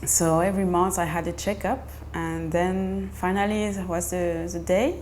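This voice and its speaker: A woman speaks at a fairly slow pace with a French accent. Noticeable background noise and audible room echo are present. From France. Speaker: mother sharing birth story. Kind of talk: personal testimony. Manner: halting, many fillers and restarts.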